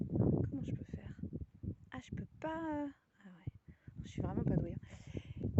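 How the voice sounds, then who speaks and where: A woman whispers at a fairly slow pace. Her voice is somewhat breathy. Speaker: spiritual guide. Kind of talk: casual talk to camera. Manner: whispered.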